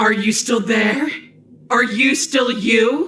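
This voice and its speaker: Using a put-on character voice, the speaker talks at a very slow pace in a fairly high pitch, with a slight echo. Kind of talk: dark fantasy villain speech. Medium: video game. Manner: menacing, grandiose.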